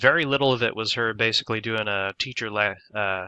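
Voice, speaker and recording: In an ordinary speaking voice, a man with a medium pitch talks at a fairly quick pace. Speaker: student. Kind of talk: class presentation. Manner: casual.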